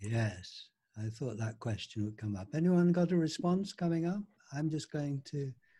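A man's fairly high, somewhat breathy voice with a dark, mellow tone moves at a moderate pace through very wide pitch swings. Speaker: group discussion host. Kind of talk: online group discussion. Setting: video call. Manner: warm, encouraging.

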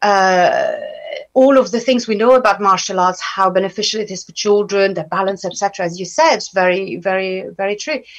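A woman with a French accent speaks at a moderate pace in a medium pitch. Her intonation is lively, and her loudness swings widely. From France. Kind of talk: radio interview. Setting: radio studio.

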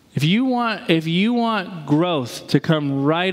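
Noticeable background noise sits behind a man's voice. His pitch is fairly high and swings very widely. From New England. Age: 30s. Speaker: pastor. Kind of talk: sermon.

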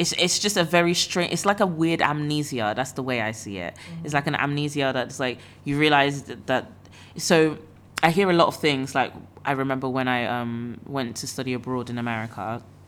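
With music playing behind her, a woman speaks at a moderate pace in a very deep, low pitch, her intonation lively and her loudness swinging widely. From Nigeria. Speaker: podcast host. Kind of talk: casual chat.

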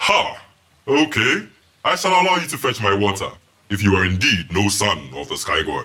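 Putting on a booming character voice, a man speaks at a moderate pace. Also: fairly low pitch for a man. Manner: menacing, wrathful.

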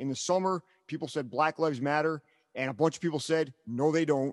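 A man with an unremarkable speaking voice talks at a fairly quick pace and a fairly high pitch, with ordinary pitch variation. The sound is dry and close with no echo, over a quiet background. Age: 40s. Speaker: podcast host and stand-up comedian. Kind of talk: casual chat, interview.

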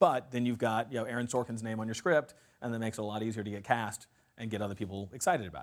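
This man has a medium-pitched voice and talks very fast. His loudness swings widely while his intonation stays fairly even. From US Midwest, rural Kansas. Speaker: film writer and producer. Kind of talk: university talk interview. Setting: lecture hall with audience.

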